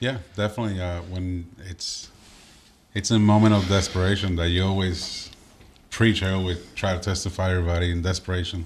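A man with a Spanish accent talks fairly quickly in a very deep, low pitch, his intonation monotone and flat. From Puerto Rico. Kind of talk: casual interview chat.

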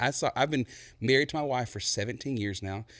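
With a Texan accent and ordinary pitch variation, a man speaks against a quiet background. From East Texas (Buna). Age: 30s. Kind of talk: casual interview chat.

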